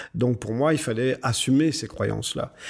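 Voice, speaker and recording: A man's fairly slow speech, very clean recording, silent background. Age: 50s. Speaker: company director. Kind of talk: interview. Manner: halting, repeats words.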